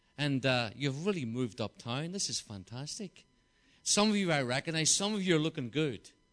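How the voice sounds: Fairly high in pitch and fairly bright in tone, a man speaks with a Belfast accent and lively intonation. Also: moderate pace. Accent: Northern Irish, Belfast.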